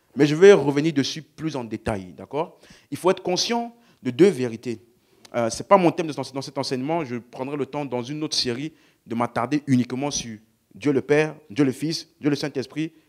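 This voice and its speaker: A man speaks in a fairly high voice with ordinary pitch variation and big swings in loudness. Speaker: preacher. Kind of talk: sermon. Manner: slow.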